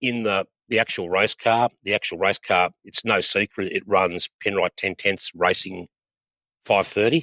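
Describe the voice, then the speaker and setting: In a quiet background, a man with an Australian accent speaks at a fairly slow pace in a bright, sharp tone. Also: fairly low pitch for a man, fairly even intonation, very even loudness. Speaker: oil company training and sales manager. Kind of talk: podcast interview. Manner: halting, many repetitions.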